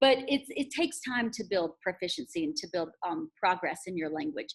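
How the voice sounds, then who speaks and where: Very wide pitch swings at a moderate pace. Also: woman, high pitch for a woman. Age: 40s. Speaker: language teacher. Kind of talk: conference presentation. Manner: casual, encouraging.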